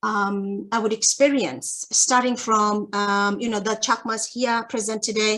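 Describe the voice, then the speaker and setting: A woman with a Bangladeshi accent and a fairly high pitch speaks over a quiet background. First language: Chakma. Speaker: academic researcher. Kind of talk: academic webinar talk. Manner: hesitant, many fillers.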